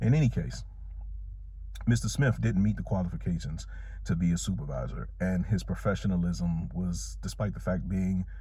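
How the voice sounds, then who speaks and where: A man with an American accent speaks at a very deep, low pitch and a moderate pace. His pitch swings very widely, with audible room echo. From Washington DC (Southeast). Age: 40s. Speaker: security officer, vlogger. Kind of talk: storytime vlog.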